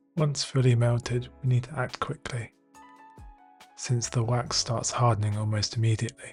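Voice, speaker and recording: Over music in the background, a man speaks at a medium pitch and moderate pace with fairly even intonation. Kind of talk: DIY tutorial narration.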